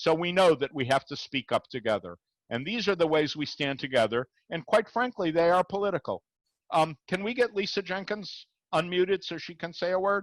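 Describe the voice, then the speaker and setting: Lively intonation at a fairly quick pace, in a dry, close sound with no echo. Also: man, high pitch for a man. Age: 60s. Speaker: rabbi, interfaith dialogue speaker. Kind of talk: Q&A after a talk. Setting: video call.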